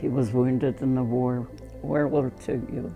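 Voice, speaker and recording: Over music in the background, a woman speaks at a very slow pace with a very deep, low pitch and ordinary pitch variation. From Russia. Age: 80s+. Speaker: painter. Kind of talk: interview answer. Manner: slow, hesitant.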